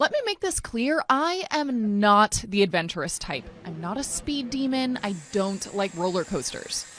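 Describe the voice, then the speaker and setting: The speaker talks with an American accent, with hardly any pauses and very wide pitch swings. Noticeable background noise runs throughout. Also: woman, fairly high pitch for a woman, fairly slow pace. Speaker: TV news reporter and anchor. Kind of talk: TV news reporting and standup.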